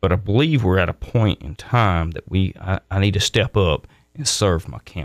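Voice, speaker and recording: With a Mississippi accent, a man speaks in a very deep, low pitch with lively intonation and big swings in loudness, recorded very cleanly against a silent background in a dry, close sound with no echo. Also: moderate pace. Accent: Southern US (Mississippi). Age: 50s. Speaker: political candidate, military retiree. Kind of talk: radio interview.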